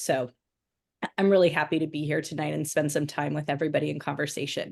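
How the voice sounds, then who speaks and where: Over a quiet background, a woman with an American accent speaks at a very deep, low pitch with vocal fry and ordinary pitch variation. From US Midwest, Michigan. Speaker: history education professor, former teacher. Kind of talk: online panel discussion.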